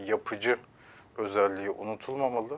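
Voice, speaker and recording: With fairly low pitch and fairly even intonation, a man talks at a moderate pace. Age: 30s. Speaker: relationship counselor; guest. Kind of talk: TV interview; interview answer. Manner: hesitant with filler sounds. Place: studio. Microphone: lapel.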